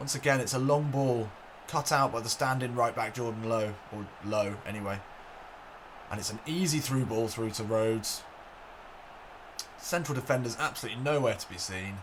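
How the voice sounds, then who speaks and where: At a moderate pace and with long, frequent pauses, a man with a medium pitch speaks in an excited tone and ordinary pitch variation over noticeable background noise. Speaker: gaming commentator. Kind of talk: football match commentary over video game. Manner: excited, lively.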